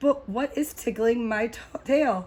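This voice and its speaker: Using a put-on character voice, a woman speaks fairly slowly in a high, raspy pitch. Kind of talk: children's read-aloud. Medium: read story. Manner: upbeat, relaxed.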